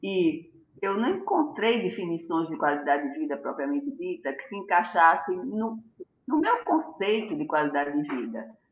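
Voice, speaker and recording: Her pitch swinging very widely, a woman speaks at a medium pitch. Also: moderate pace. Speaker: gynecologist. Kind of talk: health talk on a live stream. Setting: live video stream.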